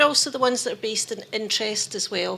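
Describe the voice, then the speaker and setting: The speaker has a Scottish accent. Pitch varies in an ordinary way. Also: woman. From Scotland. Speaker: labour dispute conciliator. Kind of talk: conference presentation.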